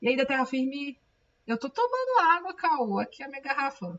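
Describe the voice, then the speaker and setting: The woman's voice sits high. It rises and falls across a very wide range. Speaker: comic book artist and streamer. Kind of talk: casual live stream chat. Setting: live stream. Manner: talkative, fast.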